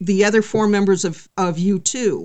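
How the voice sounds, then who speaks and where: A medium-pitched woman's voice with ordinary pitch variation. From California. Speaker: singer-songwriter and punk musician. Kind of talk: interview conversation.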